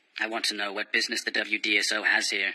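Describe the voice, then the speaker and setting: A man puts on a cartoonish character voice at a fairly low pitch, talking at a very fast pace with a dry, close sound and no echo. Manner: calm, measured.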